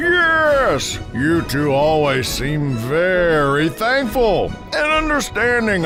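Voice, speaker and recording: Over loud music in the background, a man in a put-on character voice speaks at a very slow pace. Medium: audio drama. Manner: warm, fatherly.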